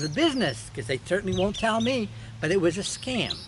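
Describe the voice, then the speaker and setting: A man at a fairly quick pace, his pitch swinging very widely, over noticeable background noise. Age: 70s. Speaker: YouTuber. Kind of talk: monologue. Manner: halting, with fillers.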